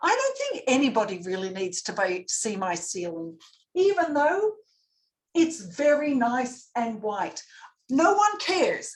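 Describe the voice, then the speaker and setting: Speaking at a fairly slow pace with an Australian accent, a woman uses a high pitch and very wide pitch swings. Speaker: public speaking coach. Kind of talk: lecture. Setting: video call. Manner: animated.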